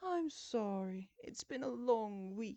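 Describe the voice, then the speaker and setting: A woman uses a put-on character voice. It sits fairly high and moves at a fairly slow pace. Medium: read story. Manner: polite, restrained.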